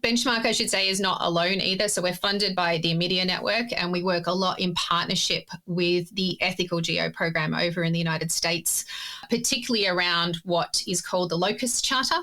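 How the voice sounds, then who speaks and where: A woman with an Australian accent talks at a fairly quick pace, her medium pitch moving in ordinary ways. Her loudness stays very even, she hardly pauses, and noticeable background noise runs underneath. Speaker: geospatial ethics expert. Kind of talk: interview.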